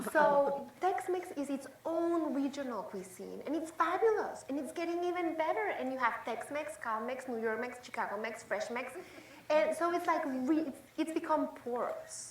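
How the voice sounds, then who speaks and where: A woman with a slight Mexican accent speaks at a high pitch with lively intonation. Audible room echo and noticeable background noise surround her. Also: moderate pace. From Mexico City. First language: Spanish. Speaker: chef and cooking show host. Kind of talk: panel discussion.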